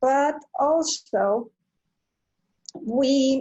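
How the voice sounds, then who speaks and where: A somewhat breathy woman's voice with lively intonation. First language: Spanish. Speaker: nonprofit founder and business owner. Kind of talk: online presentation. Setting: video call from home. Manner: halting, many fillers. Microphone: slow connection.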